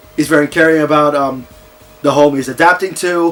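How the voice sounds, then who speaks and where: A man's fairly high voice in a flat monotone, with music in the background. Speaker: video game reviewer. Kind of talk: casual unscripted movie review to camera. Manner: hesitant, stammering with pauses.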